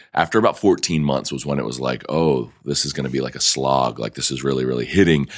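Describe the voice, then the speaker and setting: A man talks at a very deep, low pitch with ordinary pitch variation. Noticeable background noise is present. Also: hardly any pauses. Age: 30s. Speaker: entrepreneur and podcast host. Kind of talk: casual interview. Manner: halting, many fillers.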